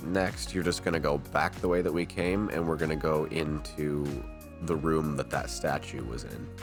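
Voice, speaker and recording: A man's very deep, low voice over music in the background. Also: ordinary pitch variation, moderate pace. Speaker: gaming guide creator. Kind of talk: video game walkthrough narration. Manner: casual.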